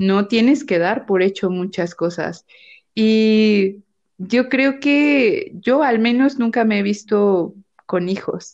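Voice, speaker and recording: At a very slow pace, a woman speaks with a fairly high pitch and ordinary pitch variation. Her loudness stays very even. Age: 30s. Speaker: psychologist podcast co-host. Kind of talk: casual chat.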